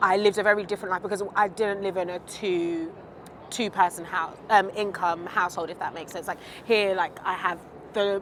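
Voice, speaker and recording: A woman's medium-pitched voice in a British accent, fairly quick and monotone, with big swings in loudness and noticeable background noise. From UK. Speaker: interviewee. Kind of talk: interview. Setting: outdoors, walking.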